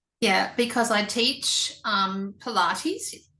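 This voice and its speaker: An Australian accent with ordinary pitch variation. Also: woman. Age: 60s. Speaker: interviewer, Pilates teacher. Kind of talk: interview.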